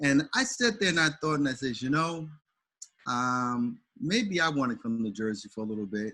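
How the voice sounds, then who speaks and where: Over a silent background in a very clean recording, a man with an American accent talks at a moderate pace in a bright, sharp tone. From St. Louis, US Midwest. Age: 60s. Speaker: pastor. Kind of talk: casual chat. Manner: halting.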